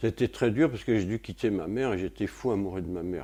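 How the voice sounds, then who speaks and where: Using a fairly low pitch with ordinary variation, a man talks at a moderate pace in a dark, mellow tone with vocal fry. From France, Paris. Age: 70s. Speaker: retired physics and chemistry lecturer. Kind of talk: interview testimony. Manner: hesitant, many fillers.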